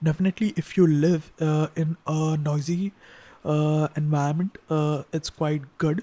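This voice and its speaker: Soft-spoken delivery comes at a fairly slow pace. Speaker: tech reviewer. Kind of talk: product review. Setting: untreated room at home. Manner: hesitant, many fillers.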